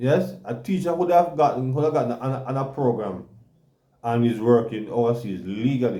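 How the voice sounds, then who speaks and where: A man with a Jamaican accent speaks at a moderate pace and medium pitch, his tone dark and mellow, his intonation lively, with audible room echo. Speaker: talk show co-host. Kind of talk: casual chat. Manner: halting, many repetitions.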